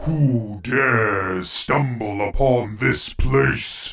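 Doing a put-on character voice, a man speaks very slowly at a medium pitch, his sound resonant and raspy.

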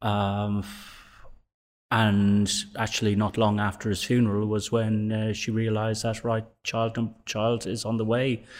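A man in a Dublin accent talks at a medium pitch with monotone, flat intonation in a very clean recording with a silent background. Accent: Irish (Dublin). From Dublin, Ireland. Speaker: gym member. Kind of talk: interview, life story.

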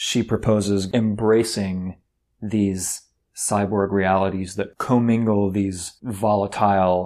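Over a silent background in a very clean recording, a man talks at a fairly low pitch and a fairly slow pace with monotone, flat intonation. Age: 40s. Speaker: podcast host discussing a book. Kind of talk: casual book discussion.

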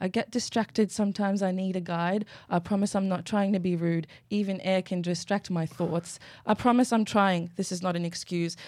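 On a very clean recording with a silent background, a woman speaks fairly quickly in an unremarkable speaking voice, at a medium pitch with fairly even intonation. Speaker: model. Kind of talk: casual chat. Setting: studio, live broadcast.

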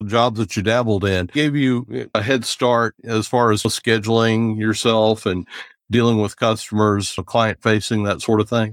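In an ordinary speaking voice, a man with an American accent talks at a fairly slow pace and medium pitch. His intonation is fairly even and his loudness very even, with a dry, close sound and no echo. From US South, near Charlotte. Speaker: podcast host. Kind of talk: casual interview.

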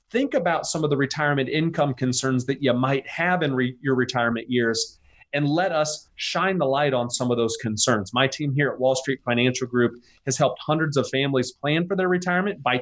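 In a plain, everyday voice of fairly high pitch, a man speaks at a fairly quick pace with hardly any pauses, very even loudness and ordinary pitch variation. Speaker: financial advisor. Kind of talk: radio interview, casual chat. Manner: conversational, relaxed.

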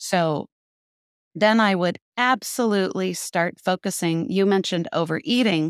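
On a very clean recording with a silent background and a dry, close sound with no echo, a woman with a plain, everyday voice speaks at a fairly slow pace and a fairly low pitch with ordinary pitch variation. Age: 60s. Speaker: intermittent fasting coach. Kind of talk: interview.

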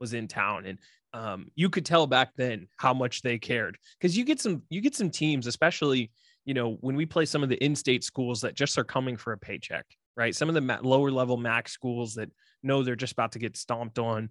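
Fairly quick talk in a Midwestern American accent, ordinary pitch variation, a dry, close sound with no echo and a quiet background. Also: man, medium pitch for a man. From Ohio, Columbus. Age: 30s. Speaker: YouTuber, video game content creator. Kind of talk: casual interview chat.

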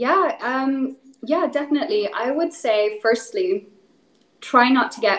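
A woman talks with a Northern Irish accent. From Northern Ireland, rural. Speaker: animal welfare specialist. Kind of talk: interview.

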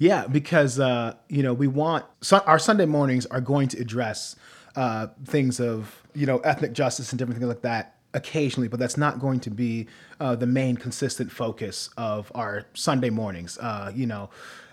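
In a very clean recording with a silent background, a man with a normal speaking voice talks at a moderate pace and medium pitch with ordinary pitch variation. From US Midwest, Norwalk, Ohio. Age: 20s. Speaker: pastor and podcast host. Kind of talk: casual chat.

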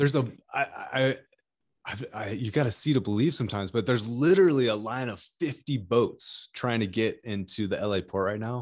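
Against a quiet background, a man with an American accent uses a plain, everyday voice at a medium pitch, a fairly quick pace and ordinary pitch variation. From California. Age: 30s. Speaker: fitness equipment inventor. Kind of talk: casual interview chat.

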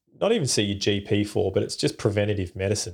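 Here a man speaks at a very fast pace with an Australian accent. His voice sits fairly low in pitch. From Perth, Western Australia. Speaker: war veteran, former army combat medic. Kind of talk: interview storytelling. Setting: video call.

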